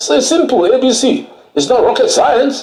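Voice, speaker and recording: Audible room echo hangs around this man's voice. His pace is moderate. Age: 70s. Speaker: lawyer. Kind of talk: TV interview. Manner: animated.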